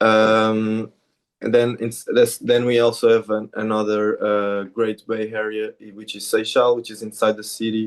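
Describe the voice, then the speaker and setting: Against a quiet background, a man speaks at a moderate pace. His fairly low voice stays monotone and flat. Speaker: charter company representative. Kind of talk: business presentation. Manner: halting, many fillers and restarts.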